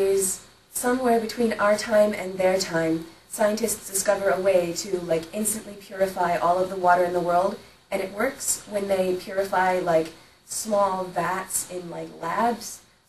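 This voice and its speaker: A woman speaks at a medium pitch with fairly even intonation. The recording has noticeable background noise and audible room echo. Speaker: writing vlogger. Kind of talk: casual vlog. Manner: fast; rambling filler-heavy speech.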